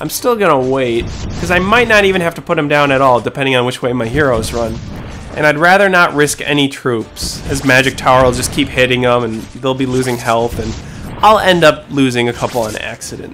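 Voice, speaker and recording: A man moves at a fairly quick pace as music plays in the background. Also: medium pitch for a man, ordinary pitch variation. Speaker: gaming YouTuber. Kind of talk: gameplay commentary. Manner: fast; casual.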